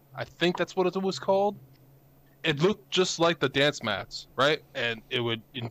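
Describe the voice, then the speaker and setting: An ordinary speaking voice from a man, at a moderate pace with lively intonation. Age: 20s. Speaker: Twitch streamer and podcaster. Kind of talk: casual chat.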